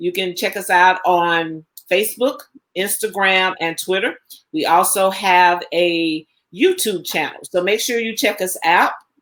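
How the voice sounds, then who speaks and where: Speaking with a slight Southern US accent, a woman uses a medium pitch. Her pace is fairly slow and her intonation fairly even. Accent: slight Southern twang. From Alabama, US South. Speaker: cooking show host. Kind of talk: live stream chat.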